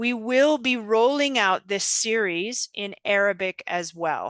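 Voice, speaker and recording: In a dry, close recording with no echo and a quiet background, a woman with an American accent speaks at a very slow pace and a fairly high pitch, her tone bright and sharp and her intonation lively. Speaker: GBV subsector coordinator, webinar presenter. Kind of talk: online training presentation. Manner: slow, deliberately enunciated.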